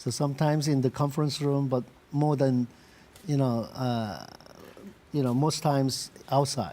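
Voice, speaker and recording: The voice has a dark, mellow tone and a Korean accent. It holds very even loudness, fairly even intonation and a moderate pace. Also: man, fairly high pitch for a man. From South Korea. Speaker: industrial designer, company CEO. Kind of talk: interview. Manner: halting with many fillers.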